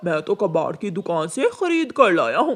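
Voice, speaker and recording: A man's cartoonish character voice, high in pitch, at a moderate pace with light background noise. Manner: stubborn, self-justifying.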